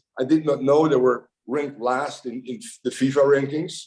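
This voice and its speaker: A man with a Dutch accent, fairly high pitch and a fairly quick pace. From Netherlands. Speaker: football coach. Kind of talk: podcast interview. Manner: halting, many fillers and repeated words.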